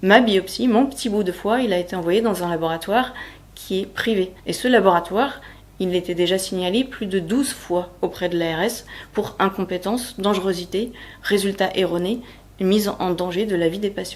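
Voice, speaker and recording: A woman uses an ordinary speaking voice, moving at a moderate pace and showing ordinary pitch variation. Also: medium pitch for a woman. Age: 30s. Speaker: healthcare worker and cancer patient. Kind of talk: personal testimony interview.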